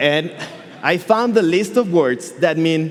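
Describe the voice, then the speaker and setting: A man with a high pitch and a Catalan Spanish accent, audible room echo and noticeable background noise around him. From Catalonia, Spain. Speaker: software engineer and conference speaker. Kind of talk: conference talk. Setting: stage with audience. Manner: animated.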